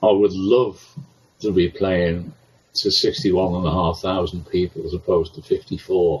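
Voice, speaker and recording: At a moderate pace, a man with a very deep, low pitch talks in a somewhat breathy voice with fairly even intonation. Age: 70s. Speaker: stadium announcer. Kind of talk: interview. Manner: halting.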